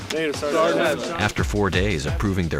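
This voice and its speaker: A man's voice with very wide pitch swings and music in the background. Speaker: voice actor, TV narrator. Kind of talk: military documentary TV narration.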